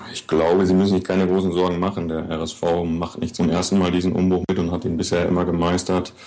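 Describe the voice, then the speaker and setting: A man's very deep, low voice, monotone and flat, rushing at a very fast pace with hardly any pauses over noticeable background noise. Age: 30s. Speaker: wheelchair basketball player. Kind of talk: interview.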